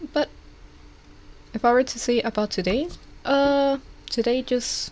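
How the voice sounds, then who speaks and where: A woman speaks at a fairly slow pace in a high voice with ordinary pitch variation. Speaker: vtuber streamer. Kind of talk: casual chat. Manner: hesitant.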